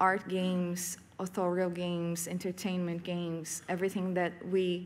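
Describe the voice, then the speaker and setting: A woman's fairly low voice in a Portuguese accent, monotone and flat in intonation, at a fairly slow pace. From Brazil, São Paulo state. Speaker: professor and game curator. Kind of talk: conference talk. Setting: stage with audience. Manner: halting, many fillers.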